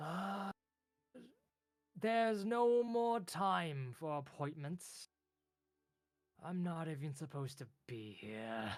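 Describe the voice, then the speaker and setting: A man puts on a character voice, fairly high in pitch with very wide pitch swings and a weary tone. He talks very slowly, with long, frequent pauses. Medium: actual play. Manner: weary, sighing.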